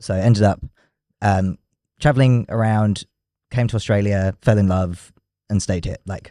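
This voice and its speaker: A man's fairly low-pitched voice with a dark, mellow tone, fairly even intonation and a moderate pace broken by long, frequent pauses, in a very clean recording with a silent background and a dry, close sound with no echo. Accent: London. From London, England. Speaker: drag king performer and theatre maker. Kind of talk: podcast interview.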